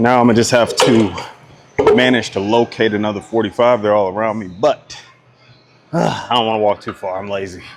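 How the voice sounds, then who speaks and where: Over noticeable background noise, a man with an American accent talks at a fairly quick pace and a medium pitch. His intonation is fairly even, broken by long, frequent pauses. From US South. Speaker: fitness vlogger. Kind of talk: casual workout vlog. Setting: gym. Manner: casual, slangy.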